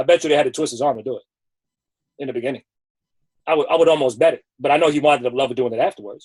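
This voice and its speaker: His words come out very fast, and this man's voice is fairly high-pitched. The sound is close and dry, without any echo. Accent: New York. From New York, the Bronx. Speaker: sneaker personality. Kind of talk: interview. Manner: animated.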